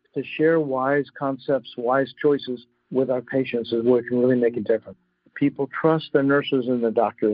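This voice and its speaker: Here is an ordinary speaking voice from a man at medium pitch. He keeps a moderate pace and fairly even intonation. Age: 60s. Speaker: physician and climate advocate. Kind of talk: interview.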